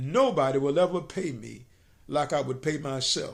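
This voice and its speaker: A man speaks at a moderate pace in a plain, everyday voice, with ordinary pitch variation. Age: 60s. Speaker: self-employed business owner giving motivational advice. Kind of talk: motivational talk to camera.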